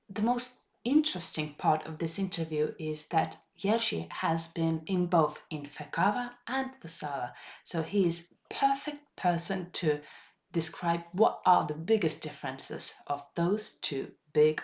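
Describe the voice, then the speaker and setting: A woman talks at a fairly slow pace. Her voice is fairly low-pitched and somewhat breathy. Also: lively intonation. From Estonia. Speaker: podcast host and veterinarian. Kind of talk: scripted narration.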